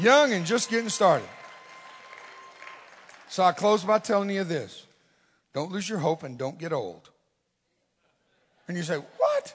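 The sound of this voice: Speaking slowly with long, frequent pauses, a man uses a high pitch, lively intonation and a slightly husky edge.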